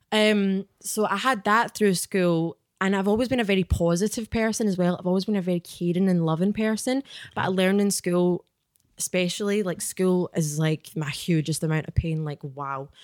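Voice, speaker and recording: In a Glaswegian accent, the speaker goes at a moderate pace with ordinary pitch variation and a dry, close sound with no echo. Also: woman, medium pitch for a woman. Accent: Glaswegian Scottish. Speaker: author and spiritual guide. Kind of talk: casual chat. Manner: animated.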